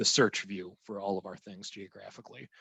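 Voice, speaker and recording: The man's voice sounds dry and close with no echo against a quiet background. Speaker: library digitization supervisor. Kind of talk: conference presentation Q&A. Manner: fast.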